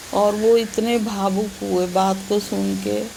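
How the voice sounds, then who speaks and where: Noticeable background noise and audible room echo around a woman's voice of medium pitch. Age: 70s. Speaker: flood victim's family member. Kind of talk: interview testimony.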